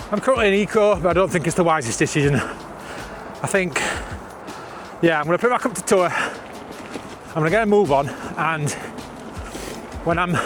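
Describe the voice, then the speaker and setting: A high-pitched man with a Yorkshire accent and lively intonation, at a moderate pace with long, frequent pauses, against noticeable background noise. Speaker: vlogger, e-bike rider. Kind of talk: casual vlog monologue. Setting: outdoors on a bike at night.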